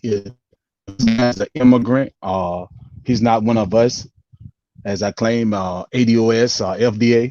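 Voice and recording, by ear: Recorded with a dry, close sound and no echo, a man speaks at a fairly low pitch in a slightly mellow tone with ordinary pitch variation.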